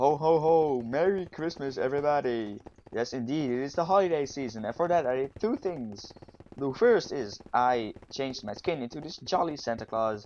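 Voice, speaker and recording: Over noticeable background noise, a man speaks at a moderate pace. His pitch is fairly high and his intonation lively. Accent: Dutch. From Netherlands. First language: Dutch. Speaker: gaming YouTuber. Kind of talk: gameplay commentary. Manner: animated.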